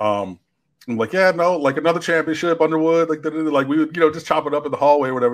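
The background is quiet. A man is speaking. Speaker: sports show host. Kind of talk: livestream commentary answering chat. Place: home room. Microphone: studio mic.

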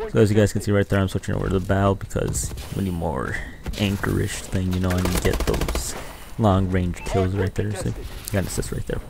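Through noticeable background noise, a man with a very deep, low voice speaks with long, frequent pauses. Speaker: gaming youtuber. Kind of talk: angry gaming rant over gameplay footage, complaining about ranked play. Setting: screen-recorded gameplay commentary. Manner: animated, irritated, complaining; casual, chatty, addressing viewers.

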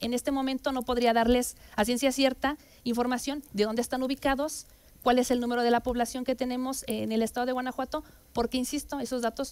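A woman's high-pitched, monotone voice at a very fast pace, flat in intonation. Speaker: council guest. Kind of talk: interview answer. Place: studio. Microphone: headset.

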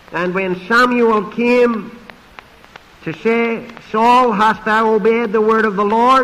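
Pitched high for a man, his voice moves at a very slow pace. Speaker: pastor and preacher; pastor, preacher. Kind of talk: sermon preaching. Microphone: podium.

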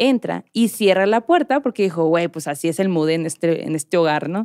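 Her dark, mellow voice moves through very wide pitch swings as this woman speaks at a moderate pace over a quiet background. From Mexico, Hermosillo (Sonora); Sonora, Mexico. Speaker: podcast host. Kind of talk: storytelling. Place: studio. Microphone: studio mic.

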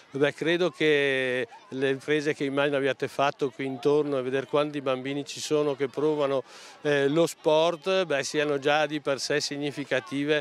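At a moderate pace, the voice comes through dry with no echo over light background noise. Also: man. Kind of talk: interview answer. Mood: friendly, pleased. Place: open country. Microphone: handheld.

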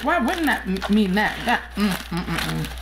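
Noticeable noise sits behind this woman's voice. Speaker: mukbang vlogger. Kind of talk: casual vlog chat. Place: home room. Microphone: phone near.

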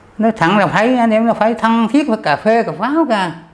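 An extremely high male voice with ordinary pitch variation. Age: 70s. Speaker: war veteran. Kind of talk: testimony. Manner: halting. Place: home room.

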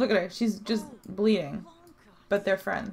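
Somewhat breathy, a woman speaks fairly slowly at a medium pitch with ordinary pitch variation. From Canada. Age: 20s. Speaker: hairdresser and esthetician. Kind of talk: casual gameplay commentary.

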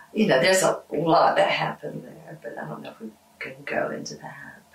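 A woman speaks with an American accent. Audible room echo fills the recording. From United States. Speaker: musician. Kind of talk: interview answer. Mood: reflective, warm, personal. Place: studio.

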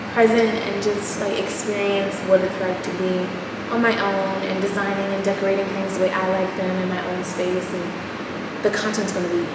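A woman talks at a moderate pace in a room with audible echo. Loud background noise runs behind her. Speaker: vlogger. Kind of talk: casual vlog chat. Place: empty room. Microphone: camera far.

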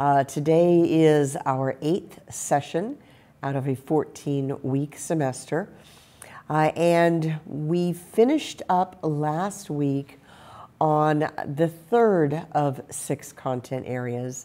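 Speaking at a very slow pace, a woman uses a very deep, low pitch and a dark, mellow tone with ordinary pitch variation. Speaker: college course instructor. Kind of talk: lecture. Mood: warm, friendly. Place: studio.

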